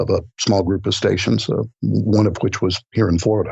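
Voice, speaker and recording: A man talks at a moderate pace with a fairly low pitch and fairly even intonation. It is a normal speaking voice. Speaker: audiobook narrator and voice-over artist. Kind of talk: interview answer. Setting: podcast interview recording.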